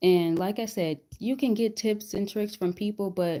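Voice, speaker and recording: A soft-spoken woman with a dark, mellow tone, ordinary pitch variation and a moderate pace. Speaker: weight loss vlogger. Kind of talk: casual live chat. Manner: repetitive, hesitant.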